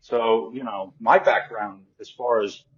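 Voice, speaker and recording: Medium in pitch, this man's voice moves with ordinary pitch variation. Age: 60s. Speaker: psoriasis patient and support group founder. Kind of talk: interview. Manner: halting.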